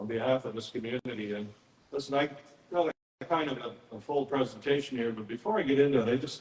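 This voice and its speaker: In a Canadian Prairie accent, a man talks at a very fast pace and a medium pitch. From southern Saskatchewan. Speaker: media commentator and guest speaker. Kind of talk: public presentation. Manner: animated.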